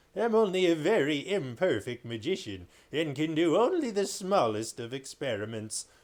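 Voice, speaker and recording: The speaker uses a put-on character voice. Hardly any pauses break it up. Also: man, fairly high pitch for a man, moderate pace. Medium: read story.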